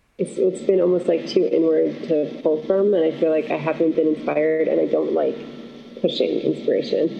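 A woman talks at a fairly quick pace with very even loudness over noticeable background noise. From Syracuse, New York. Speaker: singer-songwriter and voice teacher. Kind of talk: casual interview chat.

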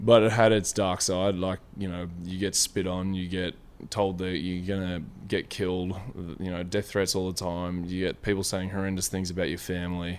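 In an Australian accent, a man speaks with a very deep, low pitch and monotone, flat intonation. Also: moderate pace. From Australia, Victoria and southern New South Wales. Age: 20s. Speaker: professional basketball player. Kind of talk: casual interview chat. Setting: outdoors.

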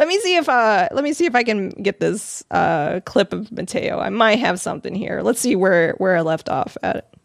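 A woman with an American accent speaks at a moderate pace with hardly any pauses, using a fairly high pitch, very wide pitch swings and vocal fry, in a dry, close sound with no echo. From Arizona. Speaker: podcast host. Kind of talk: casual chat. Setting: live stream.

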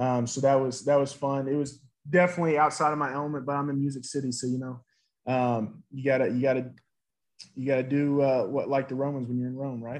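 A fairly high-pitched male voice with a Southern US accent, monotone and flat in intonation, at a very fast pace. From US South, Nashville, Tennessee. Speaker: former college football player. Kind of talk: interview. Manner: halting, many fillers.

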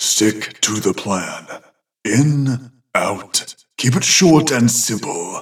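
Growling in a put-on character voice, a man speaks at a very slow pace and a medium pitch. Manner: terse, commanding.

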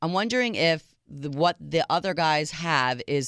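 A woman speaks in a very deep, low pitch, with a dry, close sound and no echo. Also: very clean recording, silent background. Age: 40s. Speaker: radio dating show co-host. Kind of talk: casual chat. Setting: studio.

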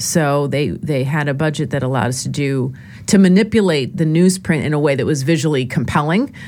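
A woman's very deep, low voice in an American accent, with ordinary pitch variation, a fairly quick pace and noticeable background noise. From New York, lower Westchester County. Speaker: history professor. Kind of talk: interview. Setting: studio.

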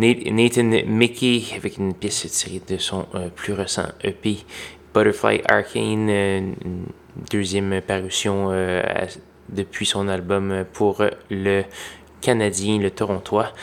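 A man with a Quebec accent, fairly low pitch and monotone flat intonation, at a very slow pace with long, frequent pauses. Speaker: college radio DJ. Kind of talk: radio DJ patter: brisk, friendly show intro and back-announce. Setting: radio studio. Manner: relaxed, conversational, informal with a few filler hesitations.

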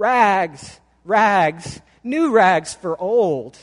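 With lively intonation, a man does a put-on character voice at a high pitch and a very slow pace.

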